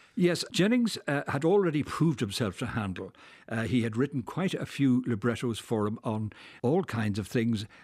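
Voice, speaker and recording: Recorded very cleanly against a silent background, a man with a Dublin accent speaks at a moderate pace and medium pitch with lively intonation. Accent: Irish (Dublin). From Dublin, Ireland. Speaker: historian and author. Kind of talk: radio interview.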